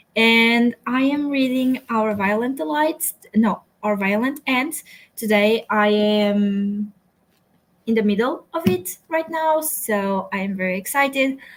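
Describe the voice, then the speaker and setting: The speech comes at a very slow pace in a Portuguese accent. The intonation is lively. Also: woman, fairly high pitch for a woman. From Portugal. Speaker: booktuber. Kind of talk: casual livestream chat.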